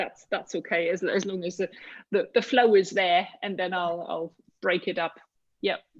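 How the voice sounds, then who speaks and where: At a moderate pace, a woman talks at medium pitch. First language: not English. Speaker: mastermind group member. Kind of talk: group coaching call. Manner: halting.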